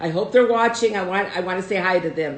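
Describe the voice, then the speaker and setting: A woman speaks at a medium pitch with ordinary pitch variation, amid audible room echo and noticeable background noise. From United States, Russian immigrant family. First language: Russian. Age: 70s. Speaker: host's mother, guest. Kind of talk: casual live stream chat. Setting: live video stream.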